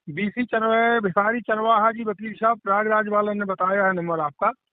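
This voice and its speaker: This is a man with a high-pitched voice. His intonation is fairly even. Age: 60s. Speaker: caller, farmer and local party worker. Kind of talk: phone call seeking help. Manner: halting, repetitive.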